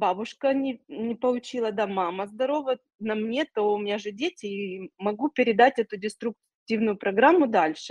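A woman speaks with a fairly high pitch that varies in an ordinary way. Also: dry, close sound with no echo. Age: 40s. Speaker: cancer survivor and psychology course graduate. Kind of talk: testimony. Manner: halting.

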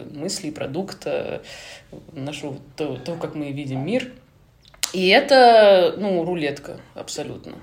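Speaking fairly slowly with long, frequent pauses, a woman with a fairly low voice is heard with audible room echo. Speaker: screenwriter, former TV producer. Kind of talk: casual interview chat.

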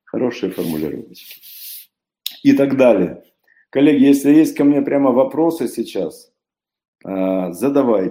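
With a dark, mellow tone and medium pitch, a man speaks at a fairly slow pace. His intonation is lively, and he takes long, frequent pauses. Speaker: conference speaker, philosopher-coach. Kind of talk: conference talk. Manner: animated.

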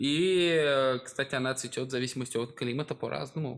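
A man talks fairly quickly at a medium pitch, with lively intonation. His is an ordinary speaking voice. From Russia. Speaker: podcast co-host. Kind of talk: casual chat.

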